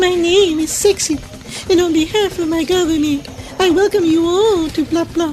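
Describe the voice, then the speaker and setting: A put-on character voice speaks at an extremely high pitch over clear background noise. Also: moderate pace. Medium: audio drama.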